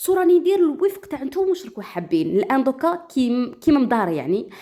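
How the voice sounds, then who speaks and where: A woman with an Algerian accent at a high pitch, talking at a very fast pace with very wide pitch swings and a dark, mellow tone. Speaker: storyteller. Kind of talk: casual talk to listeners.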